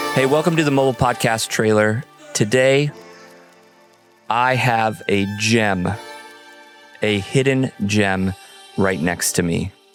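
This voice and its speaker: Very slow speech with long, frequent pauses, ordinary pitch variation and very even loudness, set against music in the background. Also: man, medium pitch for a man. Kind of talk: podcast host talk. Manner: casual, conversational.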